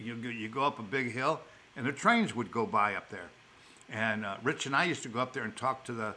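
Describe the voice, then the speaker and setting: In an American accent, a man with a bright, sharp tone speaks at a medium pitch and a fairly quick pace with ordinary pitch variation. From Chicago, South Side. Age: old. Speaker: elderly father telling life stories. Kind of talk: storytelling in casual chat. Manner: halting, with repeated words.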